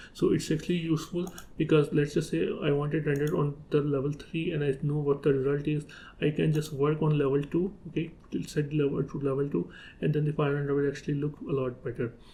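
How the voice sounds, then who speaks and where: A somewhat breathy man with a dark, mellow tone, fairly high pitch, fairly even intonation, and a very fast pace. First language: not English. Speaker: 3D software tutorial creator. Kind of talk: tutorial. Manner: halting, with fillers.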